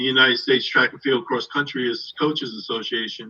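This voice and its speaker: A man speaks with a New England accent at a medium pitch. His intonation stays monotone and flat. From Somerset, Massachusetts. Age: 60s. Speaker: track and field coach. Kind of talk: interview on live stream. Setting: online live stream.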